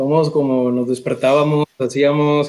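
The speaker is a man with a fairly high pitch. His intonation is monotone and flat. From Mexico, La Laguna (Torreón). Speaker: podcast co-host. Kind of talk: casual chat.

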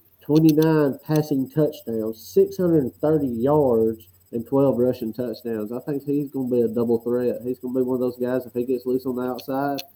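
Speaking at a fairly slow pace, a man keeps his medium-pitched voice at a fairly even intonation. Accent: Southern US. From Alabama. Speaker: football coach and podcast co-host. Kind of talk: casual chat.

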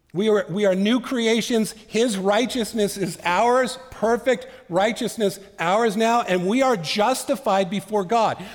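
A man talks at a fairly slow pace in a high voice, his intonation fairly even and his loudness very even. Noticeable background noise runs underneath. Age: 50s. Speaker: pastor. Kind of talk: sermon.

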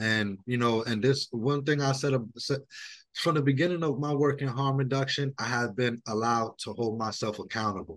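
A man speaks at medium pitch with a New York accent. The background is quiet. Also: ordinary pitch variation, moderate pace. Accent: New York City. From New York City, Brooklyn. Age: 30s. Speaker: harm reduction outreach worker. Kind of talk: interview. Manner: casual, many fillers.

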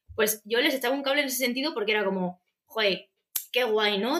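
Speaking at a fairly quick clip, a woman uses a high pitch and a bright, sharp tone. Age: 30s. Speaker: journalist. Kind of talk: casual chat.

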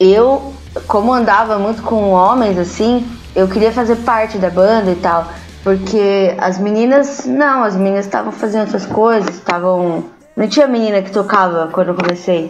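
Noticeable background noise accompanies a woman speaking at a medium pitch. She moves at a moderate pace with ordinary pitch variation. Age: 30s. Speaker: rock band musician. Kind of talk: casual chat.

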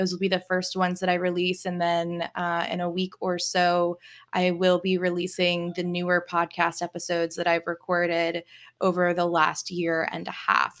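A woman with an American accent, fairly low in pitch and monotone, at a moderate pace, on a very clean recording with a silent background. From Virginia, US. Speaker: spiritual coach and podcast host. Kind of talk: solo podcast monologue.

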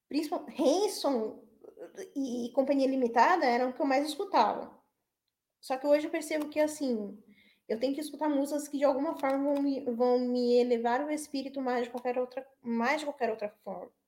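At a moderate pace, a woman speaks with a high pitch, ordinary pitch variation and a dark, mellow tone. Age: 30s. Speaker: web radio host. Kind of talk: casual chat. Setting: online radio livestream.

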